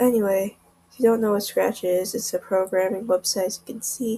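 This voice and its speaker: A woman speaks quietly. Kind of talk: casual screen-recording tutorial.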